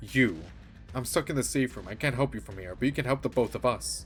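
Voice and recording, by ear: Cackling in a put-on character voice, a man races at a very fast pace with a medium pitch and big swings in loudness, music playing in the background.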